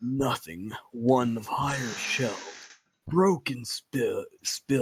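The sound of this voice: Lively intonation marks an unforced reading voice over a quiet background.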